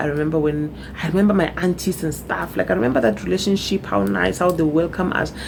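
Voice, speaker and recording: Amid noticeable background noise, a woman talks at a fairly quick pace in a very deep, low pitch. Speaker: vlogger. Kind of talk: personal testimony vlog. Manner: voice cracking with emotion.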